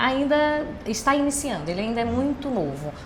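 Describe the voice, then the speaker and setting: Amid noticeable background noise and audible room echo, a woman speaks with very wide pitch swings. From Brazil, Recife (Pernambuco). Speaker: business executive. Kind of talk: podcast interview.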